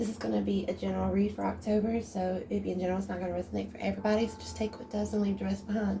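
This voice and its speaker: Noticeable background noise is present throughout. The talking goes at a very fast pace. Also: woman. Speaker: tarot reader. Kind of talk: tarot reading. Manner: casual.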